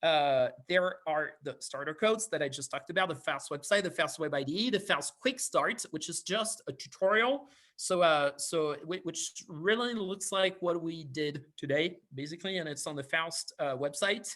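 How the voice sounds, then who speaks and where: On a very clean recording with a silent background, a man with a French accent and a bright, sharp tone talks at a moderate pace and high pitch, with ordinary pitch variation and hardly any pauses. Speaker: university lecturer. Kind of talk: lecture. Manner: hesitant, many fillers.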